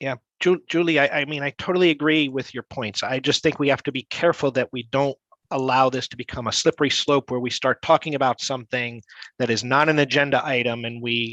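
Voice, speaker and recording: Against a quiet background with a dry, close sound and no echo, a man with a plain, everyday voice talks at a fairly quick pace and medium pitch with fairly even intonation. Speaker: board of education member. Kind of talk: committee meeting discussion.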